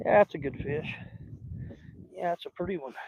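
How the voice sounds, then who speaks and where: Speaking at a fairly quick pace with a Southern US accent, a man has a dark, mellow tone, and the sound is dry and close with no echo. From US South. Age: 60s. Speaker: fishing channel host. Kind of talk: casual live-stream chat while fishing. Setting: outdoors in a boat on a lake.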